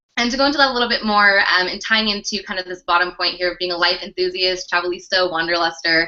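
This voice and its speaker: Very fast pace with hardly any pauses. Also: woman, medium pitch for a woman, ordinary pitch variation. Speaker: fitness coach and network marketing leader. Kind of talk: online training presentation. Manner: animated.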